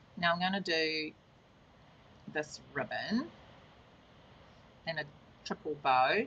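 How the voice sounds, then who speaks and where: A woman talks with lively intonation. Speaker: card-making demonstrator. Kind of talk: tutorial. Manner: casual, chatty; loud.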